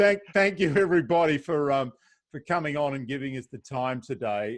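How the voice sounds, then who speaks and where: With an Australian accent, a man talks at a fairly quick pace using lively intonation. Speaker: safari travel host. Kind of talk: video call panel moderation. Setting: video call.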